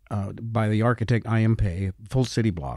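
Speaking in a normal speaking voice with an American accent, a man keeps a moderate pace and a medium pitch with ordinary pitch variation. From Utah, US. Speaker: company founder and CEO. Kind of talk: interview.

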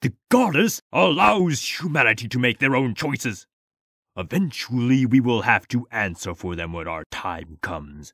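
The recording is very clean, with a silent background and a dry, close sound with no echo. A man at medium pitch speaks at a moderate pace, his pitch swinging very widely. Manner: furious, preaching.

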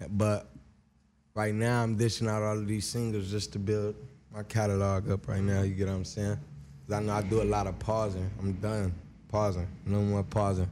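Noticeable background noise sits behind a man whose fairly low voice keeps a fairly even intonation. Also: moderate pace. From Long Beach, California. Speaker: rapper. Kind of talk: casual interview. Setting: studio. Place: studio. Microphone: studio mic.

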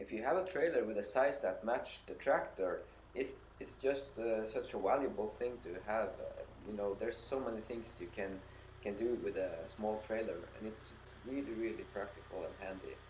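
With a Norwegian accent, a man talks at a moderate pace against noticeable background noise. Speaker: YouTuber reviewing his tractor. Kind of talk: product review. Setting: outdoors with tractor. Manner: hesitant, many fillers.

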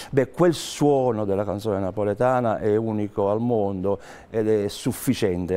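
At a moderate pace, a man speaks in a fairly low pitch with ordinary pitch variation. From Naples, southern Italy (moved from Basilicata as a child); Italy. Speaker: singer-songwriter; guest. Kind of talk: interview. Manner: halting. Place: studio. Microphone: lapel.

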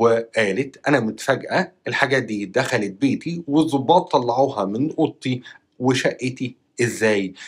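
A man speaks with an Egyptian accent at a fairly slow pace. His pitch variation is ordinary, and the background is quiet. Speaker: YouTuber news commentator. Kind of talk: news commentary monologue. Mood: disapproving, serious. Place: home room. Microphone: lapel.

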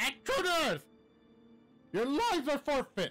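A man uses a put-on character voice at an extremely high pitch, speaking fairly slowly. Faint music plays in the background.

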